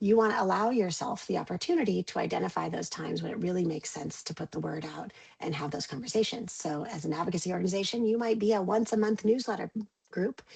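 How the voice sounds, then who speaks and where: At a very fast pace, a woman talks with lively intonation. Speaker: communications consultant. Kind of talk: webinar presentation. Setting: video call.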